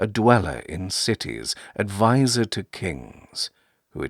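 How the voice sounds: A natural reading voice set against a quiet background.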